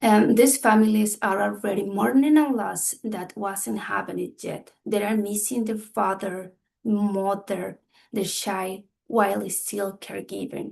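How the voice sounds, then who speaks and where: The woman's pitch is medium, with ordinary pitch variation. She talks at a fairly slow pace. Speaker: community health trainer. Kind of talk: training workshop. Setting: video call. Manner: halting.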